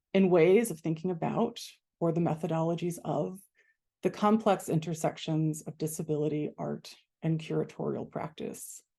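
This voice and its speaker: A woman's fairly low, dark and mellow voice with vocal fry and fairly even intonation, over a quiet background. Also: moderate pace. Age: 40s. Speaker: curator and scholar. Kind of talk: presentation to online audience. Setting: video call from office.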